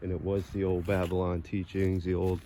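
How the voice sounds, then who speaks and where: With a Massachusetts accent, a man speaks at a moderate pace. His very deep, low pitch stays monotone and flat. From Massachusetts, US. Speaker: video blogger and songwriter. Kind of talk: walking vlog narration. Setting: outdoors in a cemetery. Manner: casual, rambling with self-corrections.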